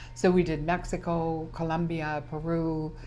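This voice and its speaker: In a room with audible echo, a woman with a Canadian prairie accent speaks at a fairly low pitch. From Canadian prairies, Saskatchewan. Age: 70s. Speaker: small business owner. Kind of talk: interview.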